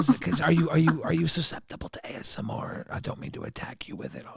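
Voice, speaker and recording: A man whispering in a raspy, put-on character voice at a very fast pace. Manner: whispering, ASMR.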